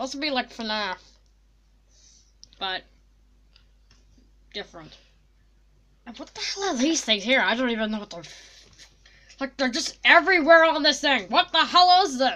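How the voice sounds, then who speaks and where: In a cartoonish character voice with a high pitch, the speaker goes at a moderate pace with long, frequent pauses over clear background noise. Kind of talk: comic overacting. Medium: puppet show. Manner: brash, excitable, mock-scared.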